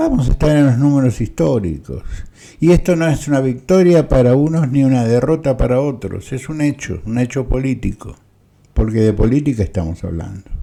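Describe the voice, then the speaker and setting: Lively in intonation, a man speaks at medium pitch with a dark, mellow tone. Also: moderate pace. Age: 60s. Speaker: political commentator, former constitutional law teacher. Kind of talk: personal video commentary.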